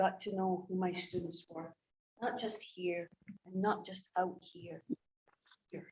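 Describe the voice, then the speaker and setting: In a Scottish accent, a woman with a medium-pitched, somewhat breathy voice speaks at a fairly slow pace in a monotone, flat intonation, with big swings in loudness and long, frequent pauses. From Scotland. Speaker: English teacher. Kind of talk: public comment at board meeting. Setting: school board meeting. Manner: emotional, earnest.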